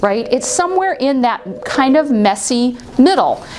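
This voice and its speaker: A loud woman's animated voice with very wide pitch swings over noticeable background noise. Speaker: workplace harassment trainer. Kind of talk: training seminar.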